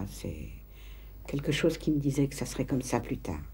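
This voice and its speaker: A woman speaks at a fairly slow pace. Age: 60s. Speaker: interviewee, mother. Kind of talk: documentary interview testimony. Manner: halting, hesitant.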